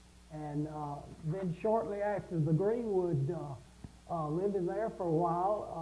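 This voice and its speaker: In a Southern US accent, a man speaks fairly slowly and high, with ordinary pitch variation, in a room with audible echo. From South Carolina. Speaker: music instructor. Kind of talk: casual chat.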